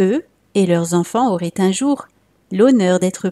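Lively intonation from an unforced reading voice

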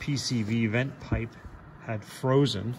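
There is light background noise behind a man's voice. His intonation is fairly even. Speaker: tractor owner. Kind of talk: casual explanatory walkthrough. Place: garage. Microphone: phone near.

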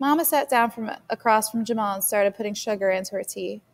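A natural voice reads the text aloud, with pitch changing in the usual way.

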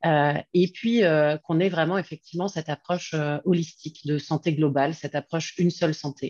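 Against a quiet background, a woman with a very deep, low pitch speaks at a fairly quick pace with fairly even intonation and a dry sound with no echo. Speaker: foundation representative. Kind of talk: closing remarks. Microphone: video call.

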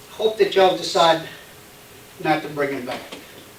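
At a moderate pace, a man with an American accent talks amid noticeable background noise and audible room echo. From Texas. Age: 60s. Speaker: public commenter at school board meeting. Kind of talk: public comment.

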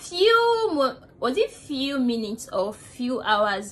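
A woman speaks slowly in a high pitch. Her voice makes big pitch swings.

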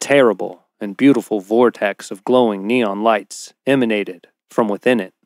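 Someone is reading aloud in a natural voice. The pitch varies in an ordinary way over a quiet background.

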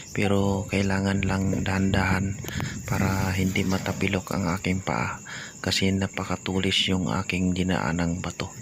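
A man with a very deep, low pitch speaks at a moderate pace in a monotone, flat intonation, keeping his loudness very even. Noticeable background noise is present. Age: 60s. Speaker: vlogger. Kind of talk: vlog narration. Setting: outdoors.

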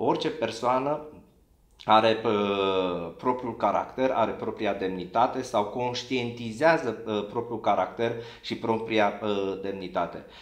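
Audible room echo surrounds a man speaking at a fairly slow pace with ordinary pitch variation against a quiet background. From Romania. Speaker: lawyer. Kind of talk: formal legal interview. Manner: formal, hesitant with fillers. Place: office.

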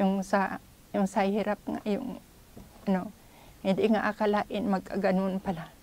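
A woman speaks at a fairly slow pace in a monotone with flat intonation. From Philippines. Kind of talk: testimony. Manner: halting. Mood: earnest, reflective. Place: home room. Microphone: lapel.

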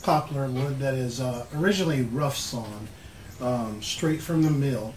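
A man talks at a moderate pace with ordinary pitch variation. There is audible room echo and light background noise. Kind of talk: tutorial. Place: workshop. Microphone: camera far.

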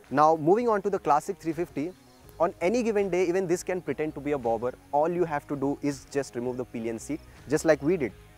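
A man at a very fast pace, in a dry sound with no echo, with faint music in the background. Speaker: motorcycle reviewer. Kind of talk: review presentation to camera. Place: open country. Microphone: lapel.

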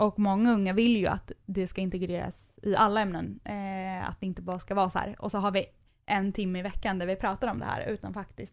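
A woman's medium-pitched voice in a flat, monotone intonation. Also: very clean recording, silent background. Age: 20s. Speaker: nonprofit youth mental health worker. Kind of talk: casual interview. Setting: studio.

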